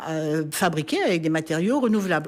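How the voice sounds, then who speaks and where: Her lively intonation runs through a normal speaking voice as this woman talks. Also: very clean recording, silent background. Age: 60s. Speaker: politician, party president. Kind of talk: radio interview.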